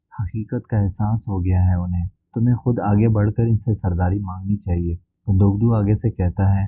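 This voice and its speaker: The voice is somewhat breathy with fairly even intonation, and the sound is dry and close with no echo. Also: man. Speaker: drama review narrator. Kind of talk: episode recap narration.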